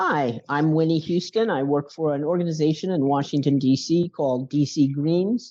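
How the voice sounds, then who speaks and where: Using hardly any pauses, a woman with a very deep, low pitch speaks at a moderate pace in a dark, mellow tone, with ordinary pitch variation. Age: 60s. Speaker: food policy strategist. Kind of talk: interview.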